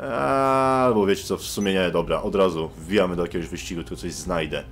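With music in the background, a man's intonation rises and falls in a lively way. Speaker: gaming youtuber. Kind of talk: gaming let's play commentary. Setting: online voice chat while gaming. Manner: casual, joking.

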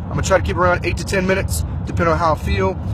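Over noticeable background noise, a man talks at a very fast pace, the sound dry with no echo. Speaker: lay preacher. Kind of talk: casual vlog chat then deliverance prayer. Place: car. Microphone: phone near.

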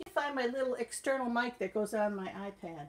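Speaking at a fairly slow pace, a woman uses a high pitch and lively intonation over light background noise. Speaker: channel host. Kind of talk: casual cooking tutorial. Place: kitchen. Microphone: phone near.

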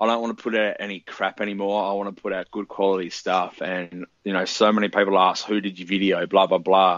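A fairly low-pitched man with an Australian accent, fairly quick and monotone, with flat intonation and hardly any pauses. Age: 20s. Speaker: musician. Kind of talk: casual chat.

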